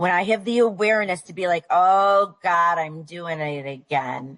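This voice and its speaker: In an American accent, a woman speaks fairly slowly at a medium pitch with lively intonation. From Buffalo, New York. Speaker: recovery meeting speaker. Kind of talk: sharing at a recovery meeting. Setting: recovery meeting.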